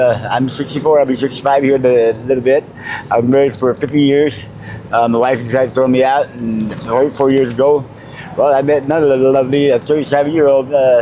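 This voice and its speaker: Speaking very fast, a man uses a medium pitch and monotone, flat intonation with an American accent. Noticeable background noise is present. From New Mexico, US. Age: 60s. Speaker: homeless mobile mechanic. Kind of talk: street interview.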